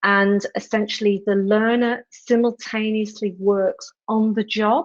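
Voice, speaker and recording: A woman with a British accent speaks fairly slowly at medium pitch. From England. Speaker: education program leader. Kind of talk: panel discussion.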